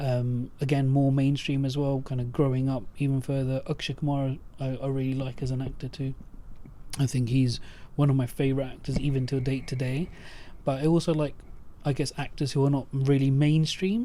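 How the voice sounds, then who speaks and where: Speaking at a fairly quick pace, a man holds a medium pitch with monotone, flat intonation. His tone is dark and mellow. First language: Punjabi. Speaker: podcast host. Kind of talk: casual chat. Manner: halting, many fillers.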